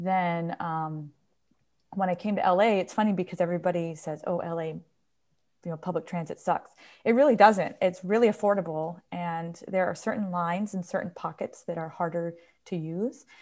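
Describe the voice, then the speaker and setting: At a moderate pace, a woman speaks in a plain, everyday voice, fairly low in pitch and fairly even in intonation. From New York, small town. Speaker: professor of ethnomusicology. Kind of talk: casual interview.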